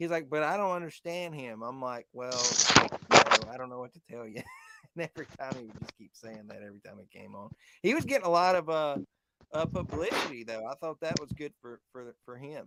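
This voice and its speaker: A man at a fairly quick pace, with ordinary pitch variation and big swings in loudness, in a dry, close sound with no echo. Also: fairly high pitch for a man. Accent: Southern. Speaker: podcast host. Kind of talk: casual chat. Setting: live stream.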